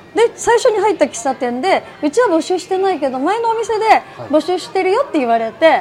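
Over noticeable background noise, a woman with an extremely high pitch talks fairly quickly, her pitch swinging very widely. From Niigata City, Japan. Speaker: rice ball shop owner. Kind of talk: interview.

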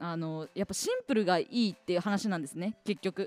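A woman talks at a medium pitch and a fairly quick pace, her pitch swinging very widely. The sound is dry and close, with no echo. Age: 20s. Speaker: radio personality. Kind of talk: casual solo radio talk about a book.

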